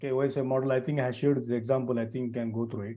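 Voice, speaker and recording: A man at a medium pitch and a very fast pace. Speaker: networking trainer. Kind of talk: live online class lecture. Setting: live stream with screen share.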